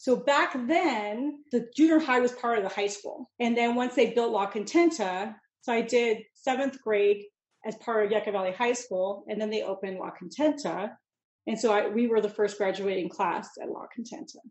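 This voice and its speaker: With a Californian accent, a woman speaks at a moderate pace. Her pitch is fairly high, with ordinary variation. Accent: Californian American. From Mojave Desert, southern California. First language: Italian (Sicilian and Neapolitan dialects). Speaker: chef and business owner. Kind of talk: interview conversation.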